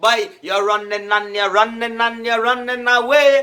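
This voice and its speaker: Loud and projected, a man with a Trinidadian accent talks at a fairly quick pace in an extremely high pitch with a bright, sharp tone and fairly even intonation. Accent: Trinidadian Creole English. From Trinidad and Tobago. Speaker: political commentator. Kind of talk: casual political talk. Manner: halting, repetitive.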